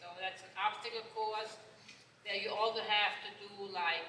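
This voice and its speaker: With a German accent, the speaker delivers flat, monotone intonation over noticeable background noise and audible room echo. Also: woman. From Germany. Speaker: horse trainer. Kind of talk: panel talk.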